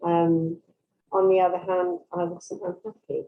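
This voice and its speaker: This woman has an English Midlands accent and a medium pitch. She talks at a fairly slow pace. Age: 70s. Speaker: workshop participant. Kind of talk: casual chat.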